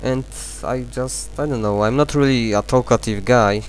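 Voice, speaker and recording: A fairly quick pace with a non-native accent and music in the background. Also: man. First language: not English. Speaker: gaming video maker. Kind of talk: let's play commentary. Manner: halting. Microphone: distortion from mic.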